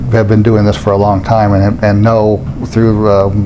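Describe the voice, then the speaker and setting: Amid noticeable background noise and audible room echo, a man mumbles in a fairly low voice. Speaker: interviewer, database software consultant. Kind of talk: casual interview. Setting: conference venue. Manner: mumbling.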